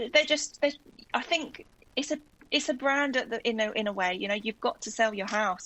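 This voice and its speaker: At a fairly quick pace, a woman with a South London accent speaks at a fairly high pitch. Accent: gentle South London. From South London, England. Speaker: guest raffling her house. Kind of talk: casual chat.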